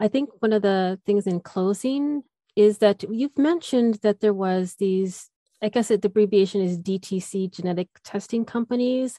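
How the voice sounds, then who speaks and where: A woman talks in a normal speaking voice. Her pitch is medium and varies in an ordinary way. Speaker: podcast host. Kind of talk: interview questions.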